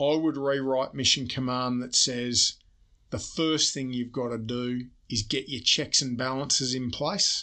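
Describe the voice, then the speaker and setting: Against a quiet background, a man with an Australian accent speaks at a fairly slow pace. His tone is bright and sharp, and his intonation is fairly even. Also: medium pitch for a man. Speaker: army general and report author. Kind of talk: interview. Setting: studio.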